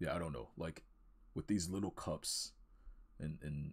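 Quiet and somewhat breathy, a man speaks with a very deep, low pitch and fairly even intonation. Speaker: art student and video creator. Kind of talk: casual art tutorial walkthrough. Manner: halting, many fillers and repeated words; kept quiet to avoid waking others.

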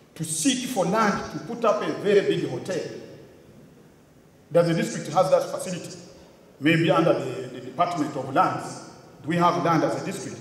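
With audible room echo, a man speaks in a high pitch at a moderate pace, leaving long, frequent pauses. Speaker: conference speaker. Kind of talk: public address. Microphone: podium.

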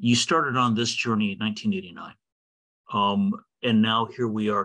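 A man with a bright, sharp tone, lively intonation and very even loudness, over a quiet background. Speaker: podcast host and meeting moderator. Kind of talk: moderated interview. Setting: video call. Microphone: video call.

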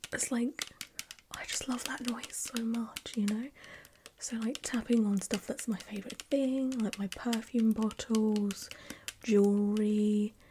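A woman speaks at a fairly slow pace with long, frequent pauses and monotone, flat intonation. Background noise is noticeable. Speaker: content creator. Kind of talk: casual vlog chat. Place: home room.

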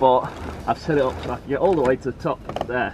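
Over noticeable background noise, a man speaks at a moderate pace with fairly even intonation, the sound dry with no echo. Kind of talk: tutorial. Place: boat. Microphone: camera far.

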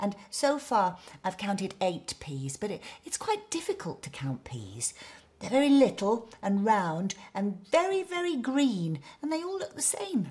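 Speaking at a fairly slow pace, a woman with a gentle, warm tone and a somewhat breathy voice lets her pitch swing very widely. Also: medium pitch for a woman. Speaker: bedtime story presenter. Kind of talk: bedtime story reading aloud for children, with character voices. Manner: gentle, warm and playful, with animated character voices and sound effects; slow, soothing pacing, with dramatic emphasis on words.

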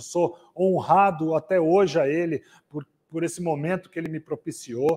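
A man speaks in a high pitch. He has a Brazilian accent. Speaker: event host. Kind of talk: live event hosting. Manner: animated. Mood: warm, grateful.

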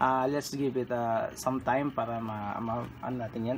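A man talks at a moderate pace. Light noise sits in the background. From Philippines. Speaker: electronics hobbyist; electronics hobbyist demonstrating project. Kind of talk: tutorial. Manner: halting. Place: home room. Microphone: phone near.

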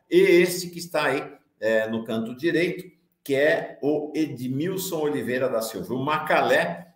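Against a quiet background with audible room echo, a man speaks at a fairly slow pace. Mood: serious explanatory. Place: home room.

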